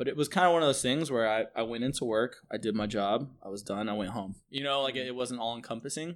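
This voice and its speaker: Recorded very cleanly over a silent background, a medium-pitched man with an American accent speaks very fast with hardly any pauses and ordinary pitch variation. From US West Coast (San Francisco). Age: 30s. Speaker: bartender. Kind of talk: interview. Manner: casual, filler-heavy.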